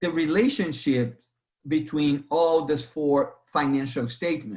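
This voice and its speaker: A fairly high-pitched man at a very slow pace, in a Brazilian accent. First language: Portuguese. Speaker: accounting instructor. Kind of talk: lecture. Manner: halting, with repetitions.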